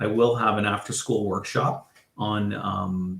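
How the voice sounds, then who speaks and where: A man with a Canadian accent and a fairly low voice. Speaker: school board education program coordinator. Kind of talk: online information session presentation. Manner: hesitant, many filler words.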